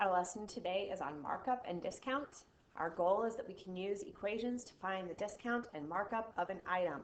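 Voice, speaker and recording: Speaking at a moderate pace and medium pitch, a woman with an unremarkable speaking voice shows ordinary pitch variation while her loudness swings widely. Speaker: math teacher. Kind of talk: recorded video lesson.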